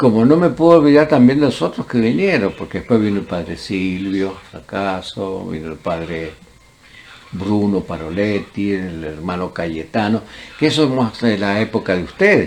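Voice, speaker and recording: A man with a fairly low pitch and lively intonation talks at a moderate pace over noticeable background noise. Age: 80s+. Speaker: former student. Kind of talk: oral history interview.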